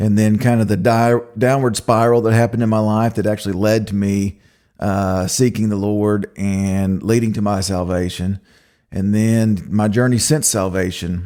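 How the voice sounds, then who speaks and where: Over a very clean recording with a silent background, a man speaks at a moderate pace with a fairly low pitch and a dark, mellow tone. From Oklahoma, US. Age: 40s. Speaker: podcast host. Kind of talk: personal testimony. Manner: casual, with frequent fillers.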